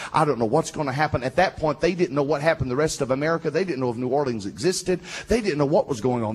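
An animated, somewhat breathy man's voice with a fairly high pitch and a Southern US accent. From US South. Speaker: preacher. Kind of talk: sermon. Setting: stage with audience. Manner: fervent, rallying the congregation in praise. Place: church. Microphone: handheld.

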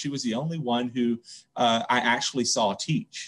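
This is a man with an American accent. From US South, rural central Louisiana. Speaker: school library administrator. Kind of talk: casual interview chat. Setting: video call. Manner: repetitive, halting with fillers. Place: home room. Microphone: video call.

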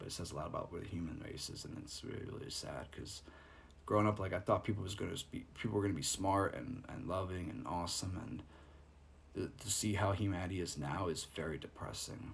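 A man's very deep, low voice with vocal fry, ordinary pitch variation and a very fast pace over light background noise. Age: 30s. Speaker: ASMR streamer. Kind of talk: live stream monologue. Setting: live stream. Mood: frustrated, disappointed. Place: home room. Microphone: phone near.

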